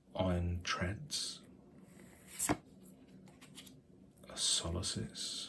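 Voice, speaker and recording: This man's voice is very deep and low, with a bright, sharp tone. His intonation is lively, and vocal fry comes through. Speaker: hobby YouTuber, new Pokemon card collector. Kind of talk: ASMR whispered card opening narration. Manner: whispered, soft-spoken.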